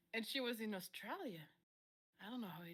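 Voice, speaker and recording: Talking at a very fast pace, a woman with a French accent lets her pitch swing very widely. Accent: gentle French lilt. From France. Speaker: musician. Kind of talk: interview. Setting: live streamed online interview.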